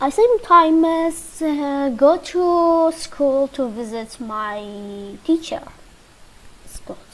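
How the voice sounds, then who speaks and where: With a Kurdish accent, a woman speaks very slowly in a high pitch with very wide pitch swings. Background noise is noticeable. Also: big swings in loudness. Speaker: English teacher. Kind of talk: lesson. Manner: halting.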